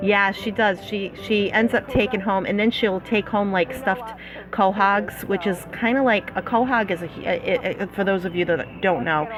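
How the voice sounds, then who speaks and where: A woman with a Massachusetts accent, medium pitch, ordinary pitch variation and a fairly slow pace, with noticeable background noise. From Massachusetts, US (Fall River area). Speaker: slot play YouTuber. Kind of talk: live stream chat. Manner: casual, many filler words.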